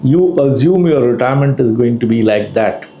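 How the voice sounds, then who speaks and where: A man with a fairly high pitch and lively intonation speaks over noticeable background noise, with audible room echo. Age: 60s. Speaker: financial planner. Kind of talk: educational talk.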